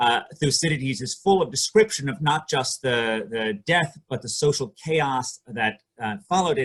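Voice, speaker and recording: A man talks at a moderate pace with hardly any pauses, his voice somewhat breathy. His pitch is fairly high, with lively intonation. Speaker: economics professor presenting research. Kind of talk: academic conference presentation. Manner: hesitant, many fillers.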